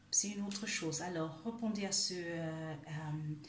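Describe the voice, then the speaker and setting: Amid audible room echo, a woman with a German accent speaks very slowly in a fairly low pitch. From Germany. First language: German (speaking French). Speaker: life coach. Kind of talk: video monologue, self-help talk. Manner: halting, many hesitations.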